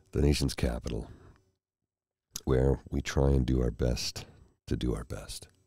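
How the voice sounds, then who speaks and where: Soft-spoken and somewhat breathy, a man with a very deep, low pitch and a dark, mellow tone speaks at a fairly slow pace in a monotone, flat intonation with long, frequent pauses, in a dry sound with no echo against a quiet background. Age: 50s. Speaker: ASMR mental health vlogger. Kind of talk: casual chat. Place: home room. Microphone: studio mic.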